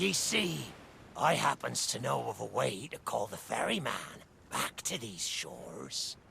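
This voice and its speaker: Against clear background noise, a man uses a put-on character voice in a fairly low pitch at a fairly slow pace. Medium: video game. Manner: theatrical, wheedling.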